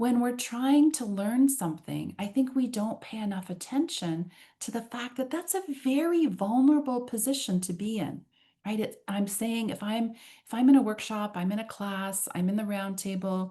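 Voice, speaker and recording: A woman's somewhat breathy, dark, mellow tone at fairly high pitch, with lively intonation and a moderate pace. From Canada. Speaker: trainer and workshop facilitator. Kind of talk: online workshop roundtable. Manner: animated.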